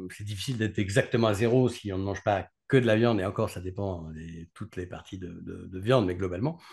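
Over a quiet background comes a man's somewhat breathy voice. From France, Grenoble (Alps); France. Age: 40s. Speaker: neurologist; guest. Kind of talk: interview. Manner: halting. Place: home room. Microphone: video call.

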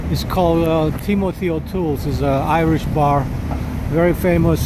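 The speech moves at a fairly slow pace in a dry sound with no echo, with noticeable background noise. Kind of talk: casual tour commentary. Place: street. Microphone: phone near.

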